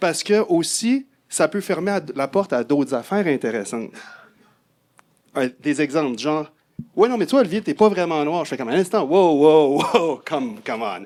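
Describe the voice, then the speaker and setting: A man speaks in a fairly high register, his pitch making very wide swings. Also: moderate pace. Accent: Quebec. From Quebec City, Quebec. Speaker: audience member. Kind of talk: panel discussion.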